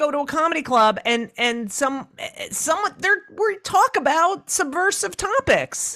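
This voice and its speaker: A woman speaks in a raised, projected voice at a high pitch. Her tone is animated, with very wide pitch swings. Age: 60s. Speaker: comedian and author. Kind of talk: interview.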